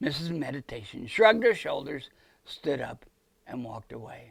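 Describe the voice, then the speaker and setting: In a put-on character voice, a raspy man with a fairly high pitch talks at a moderate pace with very wide pitch swings. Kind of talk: children's Bible-story narration. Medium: stage play. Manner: warm, storytelling.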